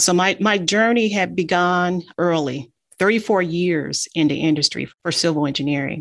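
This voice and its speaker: With an ordinary speaking voice, a woman talks at a moderate pace in a fairly low register, her pitch varying in the usual way over a very clean recording with a silent background. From Detroit, Michigan. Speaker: engineering firm CEO. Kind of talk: interview.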